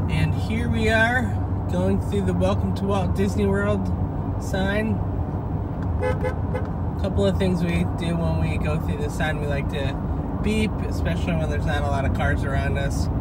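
A man talks fairly slowly through loud background noise, the sound dry with no echo. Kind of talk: casual vlog commentary. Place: car. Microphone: phone near.

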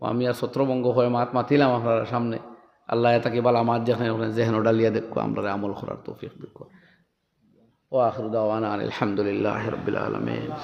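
Monotone, flat intonation with audible room echo. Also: man, medium pitch for a man. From Assam, India. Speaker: Islamic preacher. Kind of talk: sermon.

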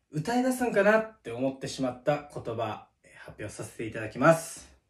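Set in a quiet background with audible room echo, a man speaks at a fairly slow pace. His pitch is fairly high. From Miyazaki, Japan. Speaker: comedy short creator. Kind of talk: comedic casual talk to camera. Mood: polite, slightly deadpan. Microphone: phone near.

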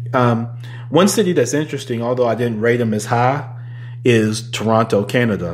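With an American accent, a man speaks at medium pitch and a moderate pace with ordinary pitch variation, and some room echo is audible. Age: 30s. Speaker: podcast host. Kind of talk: casual solo podcast monologue, also streamed live. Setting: working from home, streamed on Facebook Live.

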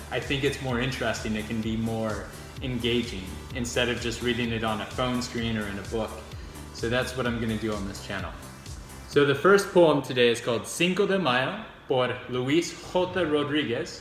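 Speech at a moderate pace carries audible room echo, with clear music in the background. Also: man. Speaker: poetry reader. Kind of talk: casual talk to camera. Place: home room. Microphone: phone near.

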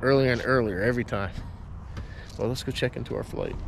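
Speaking at a fairly quick pace, the man is accompanied by noticeable background noise. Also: dry sound with no echo. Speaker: travel vlogger. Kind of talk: casual travel vlog talk to camera. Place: street. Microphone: phone near.

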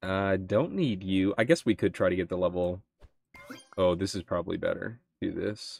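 Here a man speaks with a very deep, low pitch and fairly even intonation. He keeps a moderate pace, and the sound is dry and close with no echo. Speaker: gaming YouTuber. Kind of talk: casual gameplay commentary. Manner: casual, thinking aloud, playful.

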